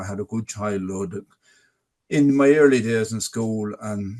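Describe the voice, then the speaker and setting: A man speaks with a Tipperary accent at a fairly slow pace. His pitch is fairly low, and his tone is dark and mellow. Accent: Irish (Tipperary). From Ireland, North Tipperary. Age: 60s. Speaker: adult literacy ambassador. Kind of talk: webinar interview, personal testimony. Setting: online webinar. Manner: halting, with repeated words.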